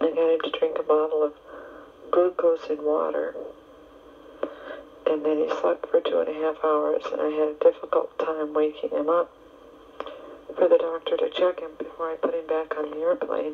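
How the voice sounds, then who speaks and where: Amid noticeable background noise, a woman talks at a moderate pace with long, frequent pauses. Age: 20s. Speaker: Red Cross volunteer. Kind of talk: personal recorded letter to family. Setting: home cassette tape recording. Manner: candid, open.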